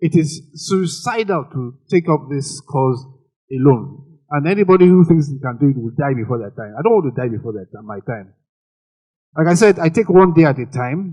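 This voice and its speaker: A man with a fairly high pitch and a dark, mellow, somewhat breathy tone speaks at a moderate pace, his lively intonation paired with big swings in loudness. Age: 60s. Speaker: parent of a child with Down syndrome, panelist. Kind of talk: panel discussion.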